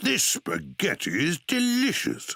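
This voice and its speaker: A man's cartoonish character voice, cheerful and high-pitched, at a fairly slow pace. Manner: cheerful, bumbling.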